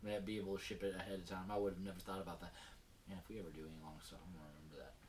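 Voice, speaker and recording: Very fast and very deep, a man talks with an American accent. His intonation is fairly even, and there is audible room echo. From North Texas. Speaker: podcast host. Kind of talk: casual chat. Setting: studio.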